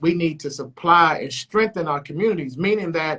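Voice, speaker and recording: At a fairly quick pace, a man speaks in a raised, projected voice with a bright, sharp tone and lively intonation. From Chicago. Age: 40s. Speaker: radio host. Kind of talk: interview.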